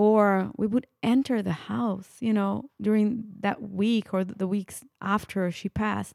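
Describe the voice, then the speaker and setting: A woman's medium-pitched voice with an Italian accent, very slow and with hardly any pauses, fairly even in intonation, in a dry, close sound with no echo. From Italy. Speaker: podcast host. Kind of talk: casual interview.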